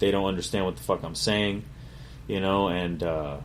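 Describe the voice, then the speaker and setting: With audible room echo, a man with a very deep, low pitch speaks fairly quickly and with ordinary pitch variation. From Connecticut, US (Meriden). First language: Spanish. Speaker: chef and podcast host. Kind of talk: casual autobiographical monologue. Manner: casual, profane, conversational.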